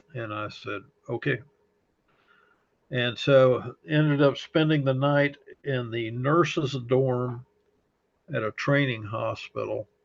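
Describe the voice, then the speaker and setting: This man talks at a fairly slow pace with a slight Texas accent and a medium pitch. He leaves long, frequent pauses. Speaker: fire service chaplain. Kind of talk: interview testimony. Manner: halting, many fillers.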